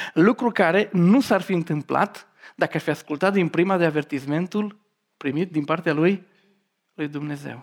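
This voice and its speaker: A woman has an ordinary speaking voice, fairly low in pitch, with ordinary pitch variation. The recording is very clean, with a silent background. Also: moderate pace. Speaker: preacher. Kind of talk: sermon.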